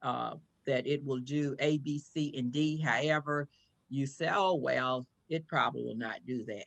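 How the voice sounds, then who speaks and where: Keeping a moderate pace, a woman speaks with a very deep, low pitch and fairly even intonation. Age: 70s. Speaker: chaplain and product distributor. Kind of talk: interview, product pitch.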